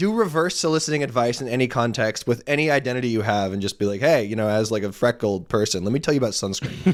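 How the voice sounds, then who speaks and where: Against noticeable background noise, a man at medium pitch rattles along at a very fast pace with ordinary pitch variation and hardly any pauses. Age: 30s. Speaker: sports podcast co-host. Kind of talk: casual chat.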